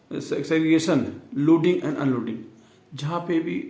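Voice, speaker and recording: In a room with audible echo, a man speaks in a dark, mellow tone with ordinary pitch variation. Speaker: teacher. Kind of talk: tutorial. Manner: slow, with pauses.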